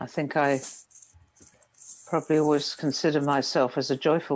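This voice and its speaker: With a British accent, a woman speaks in a very deep, low pitch against a quiet background. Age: 70s. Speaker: meditation teacher. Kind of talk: dharma talk. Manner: calm, gentle.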